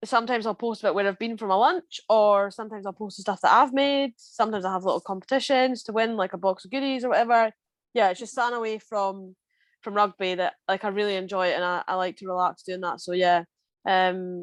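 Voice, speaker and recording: A woman with a strong Scottish Borders accent and a medium pitch speaks at a very fast pace with ordinary pitch variation, in a dry, close sound with no echo against a quiet background. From Scotland, Scottish Borders. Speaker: rugby player. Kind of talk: casual interview chat. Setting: podcast recording.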